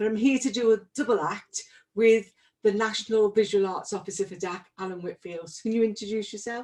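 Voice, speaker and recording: Speaking in a Liverpool accent at a fairly quick pace, a woman with a fairly high pitch shows ordinary pitch variation and big swings in loudness. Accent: Liverpool (Scouse) English. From Liverpool, England. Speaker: arts organisation director. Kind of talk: panel talk.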